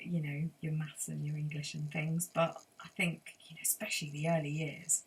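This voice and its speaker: At a moderate pace, a woman speaks in a very deep, low, somewhat breathy voice with monotone, flat intonation. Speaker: sound healer and forest school leader. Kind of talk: interview answer.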